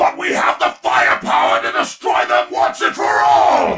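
Someone shouts in a put-on character voice at a moderate pace. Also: man, medium pitch for a man. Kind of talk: comic villain overacting. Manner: commanding, bloodthirsty, petulant.

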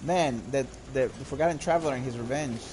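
With a non-native accent, a man of medium pitch speaks at a fairly quick pace against noticeable background noise. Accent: noticeable foreign. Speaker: video game streamer. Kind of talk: live gameplay commentary. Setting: live stream with microphone. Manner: animated.

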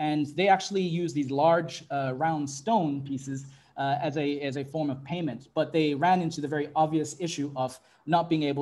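A man speaks at a moderate pace in a fairly high voice, his tone dark and mellow with a somewhat breathy quality. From Fiji and Tuvalu; Fiji. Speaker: tech consultancy director; webinar panelist. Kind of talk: panel presentation. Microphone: earbuds.

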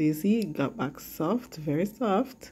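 At a fairly slow pace, a woman with a very deep, low pitch and a dark, mellow tone talks with lively intonation. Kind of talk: tutorial. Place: kitchen. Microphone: phone near.

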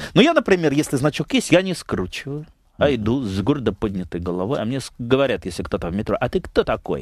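Against a quiet background in a dry sound with no echo, a man with vocal fry races along at a very fast pace, his pitch swinging very widely. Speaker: member of parliament; guest. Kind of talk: radio talk show interview. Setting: radio studio. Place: studio. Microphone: headset.

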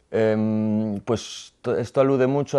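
A fairly low-pitched man with fairly even intonation over a quiet background. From Galicia, Spain (Boiro); Galicia, Spain. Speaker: visual artist; interviewee. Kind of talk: interview. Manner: halting, with repetitions. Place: studio.

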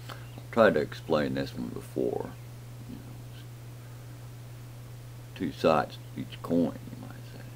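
A man with an American accent and a very deep, low pitch, fairly even intonation, big swings in loudness, a fairly slow pace and long, frequent pauses, over light background noise. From rural Southern US. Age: old. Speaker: home vlogger. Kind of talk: casual talk to camera. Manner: rambling, thoughtful. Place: home room. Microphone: webcam.

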